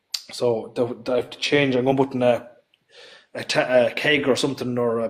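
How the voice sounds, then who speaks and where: A man speaks in a west of Ireland accent at a fairly quick pace. His pitch is medium and his intonation fairly even. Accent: west of Ireland Irish. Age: 30s. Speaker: tractor builder. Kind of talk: casual chat. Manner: fast; halting.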